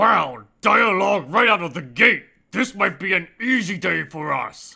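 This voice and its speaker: A man puts on a character voice, pitched high and raised to project. He keeps a moderate pace. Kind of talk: comedic let's play commentary in character. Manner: over-the-top, enthusiastic.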